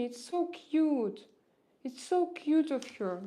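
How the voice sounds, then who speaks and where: With a Russian accent, this speaker uses lively intonation at a fairly slow pace. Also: woman. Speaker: streamer.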